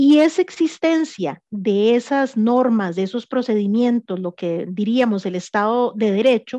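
Against a quiet background, a woman with a fairly high pitch, lively intonation and a dark, mellow tone comes through with a dry, close sound and no echo. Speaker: political scientist, researcher. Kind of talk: radio interview.

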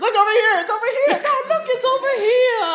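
Putting on a character voice, a woman speaks in an extremely high pitch. Her pace is fairly quick. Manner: attention-seeking, pleading.

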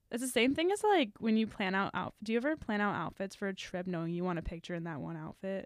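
The speech moves at a very fast pace with lively intonation and hardly any pauses. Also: woman, medium pitch for a woman. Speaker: college student podcaster. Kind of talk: casual chat.

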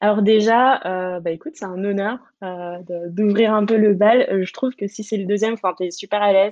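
At a moderate pace, a woman talks with medium pitch and fairly even intonation. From French Guiana. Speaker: startup programme director. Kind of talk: casual interview. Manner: hesitant, many fillers.

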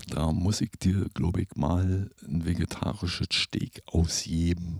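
A man speaks at a very slow pace. His very deep, low pitch carries vocal fry. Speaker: composer and podcast host. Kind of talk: casual chat. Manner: halting, many filler sounds.

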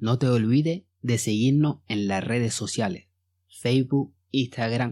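Dark and mellow in tone, a man's voice sits at a medium pitch with ordinary pitch variation. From Mali. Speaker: podcast host. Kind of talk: podcast monologue; educational narration.

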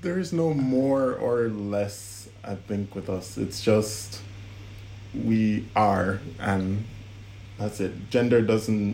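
A somewhat breathy man's voice, fairly low in pitch, at a very slow pace. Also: ordinary pitch variation. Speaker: guest in a couple interview. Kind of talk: casual interview chat.

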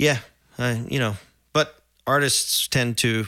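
A man with an American accent talks at medium pitch in a bright, sharp tone with fairly even intonation, on a very clean recording with a silent background. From Oklahoma, Edmond. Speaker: musician and songwriter. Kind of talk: casual interview.

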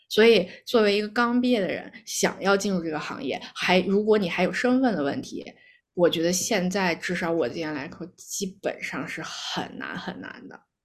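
A woman with a normal speaking voice at medium pitch, lively intonation, a moderate pace and big swings in loudness, on a very clean recording with a silent background. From Beijing, China. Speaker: actuary, immigrant. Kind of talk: casual chat.

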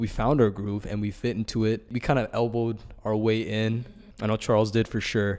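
Monotone, flat intonation marks this fairly quick delivery. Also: man, medium pitch for a man. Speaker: engineering intern. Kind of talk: casual interview.

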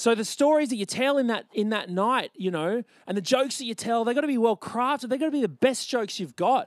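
A man with an Australian accent speaks very fast at an extremely high pitch, with hardly any pauses and ordinary pitch variation. The sound is dry and close, with no echo. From Brisbane, Australia. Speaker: author and comedian. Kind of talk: festival talk to live audience. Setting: stage with audience.

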